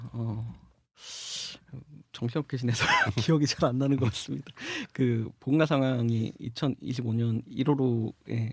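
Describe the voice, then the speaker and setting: A man speaks with long, frequent pauses. His voice is somewhat breathy. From South Gyeongsang, Korea (Samcheonpo). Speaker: magazine editor, podcast co-host. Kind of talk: casual chat.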